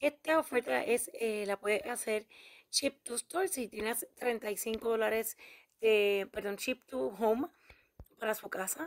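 At a very slow pace, a woman speaks with lively intonation and a fairly high pitch. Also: dry, close sound with no echo. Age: 40s. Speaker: YouTuber, couponing channel host. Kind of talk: shopping deals tutorial.

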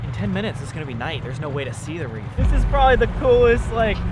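A man talks at a very fast pace over noticeable background noise. The sound is dry with no echo. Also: big swings in loudness. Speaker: video creator. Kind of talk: casual vlog chat. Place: boat. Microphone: phone near.

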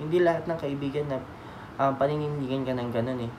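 Noticeable background noise sits behind this man as he talks. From Philippines. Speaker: vlogger. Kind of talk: casual storytelling vlog. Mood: sentimental, grateful. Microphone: phone near.

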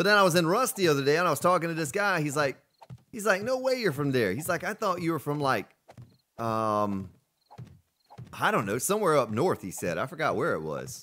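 With an American accent and a bright, sharp tone, a man speaks at a fairly quick pace, his pitch swinging very widely between long, frequent pauses. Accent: Southern US, chat says deeply Southern. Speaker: live game streamer. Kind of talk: live gameplay stream, reading chat. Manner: casual, conversational.

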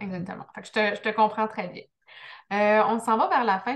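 A woman speaks with a Quebec accent. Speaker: business coach, interview host; podcast host interviewer. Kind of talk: interview. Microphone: video call.

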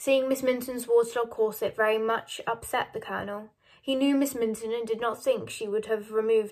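This is plain reading aloud. The words are simply read.

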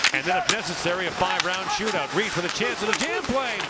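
Against noticeable background noise, a man with a high pitch speaks at a very fast pace in an excited tone. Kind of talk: live play-by-play commentary on a hockey game. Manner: rapid-fire, excited play-by-play delivery that rises to a shout on goals; animated, laughs in delight at a good shot.

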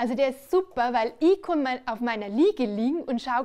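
A woman speaks at a high pitch. Her pitch swings very widely. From Bavaria. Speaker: cabaret performer. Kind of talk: stand-up comedy on stage. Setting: live stage. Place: stage. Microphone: headset.

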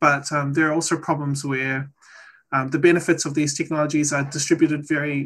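Somewhat breathy and fairly quick, a man with a New Zealand accent talks at a fairly high pitch with fairly even intonation. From New Zealand, Maori. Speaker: data scientist; presenter. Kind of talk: presentation; lecture. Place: home room. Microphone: video call.

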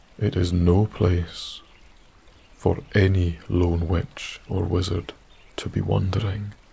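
Very slowly and with long, frequent pauses, a man with a Scottish Highlands and Islands accent speaks in a flat monotone, his pitch very deep and low, his tone soothing and gentle. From Isle of Skye, Scotland. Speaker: sleep story narrator. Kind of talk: bedtime story, scripted sleep story narration in second person. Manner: soft-spoken, slow, soothing and gentle, hushed ASMR-style whisper-like delivery.

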